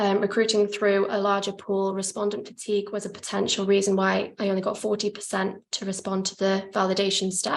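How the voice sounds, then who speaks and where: A woman speaks at a medium pitch in monotone, flat intonation, with hardly any pauses. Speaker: PhD researcher presenting her study. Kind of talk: academic conference presentation. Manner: fast, hurrying to finish.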